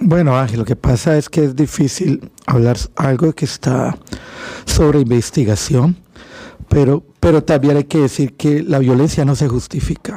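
Male speech at a fairly high pitch and fairly slow pace, with ordinary pitch variation and very even loudness, over noticeable background noise. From Colombia (Cali). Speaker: immigrant services director. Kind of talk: radio talk show.

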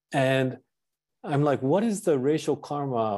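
A man's dark, mellow voice with lively intonation against a quiet background. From Japan (Tokyo), British father. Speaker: Buddhist priest and professor. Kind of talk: dharma talk. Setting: temple talk to a community. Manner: halting, many fillers and repetitions.

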